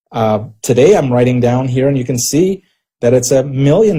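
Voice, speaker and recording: A man's somewhat breathy voice with a dark, mellow tone, medium pitch, ordinary pitch variation and moderate pace. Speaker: network marketing presenter. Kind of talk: sales pitch. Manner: animated.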